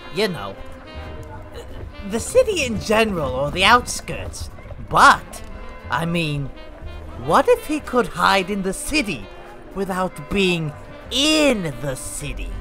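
With clear music in the background, someone uses a put-on character voice at a middle pitch and a fairly slow pace.

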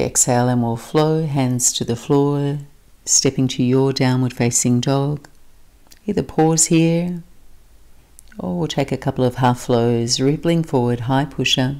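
A soft-spoken woman's calm, gentle voice with a dark, mellow tone, very deep, low pitch and a fairly slow pace against a quiet background. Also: ordinary pitch variation. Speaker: yoga instructor. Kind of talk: guided yoga class with calm, soothing cueing. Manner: calm, slow, soft-spoken, gentle; brisk, clipped cues during flow sequences.

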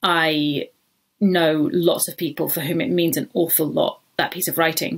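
This woman has a plain, everyday voice with a fairly low pitch and ordinary pitch variation, talking at a fairly slow pace in a very clean recording with a silent background. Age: 30s. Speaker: food writer. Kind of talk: interview.

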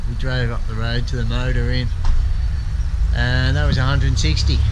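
Loud background noise fills this clip. A man speaks through it at a moderate pace. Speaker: travel vlogger. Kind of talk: casual vlog chat. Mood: relaxed, chatty. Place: street. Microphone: phone near.

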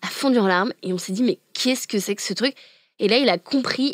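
The speaker sounds animated, moving at a fairly quick pace with ordinary pitch variation, in a very clean recording with a silent background and a dry, close sound with no echo. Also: woman. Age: 20s. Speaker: climate activist. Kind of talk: interview.

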